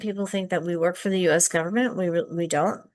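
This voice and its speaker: Pitch variation in this voice is ordinary. The background stays quiet. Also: woman. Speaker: international student services staff. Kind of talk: presentation. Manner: hesitant, many fillers.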